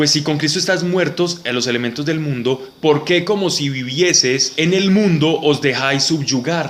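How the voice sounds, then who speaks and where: Speaking at a fairly slow pace with hardly any pauses, a man uses an ordinary speaking voice at a fairly high pitch with ordinary pitch variation. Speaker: Bible study teacher. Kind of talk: Bible study class.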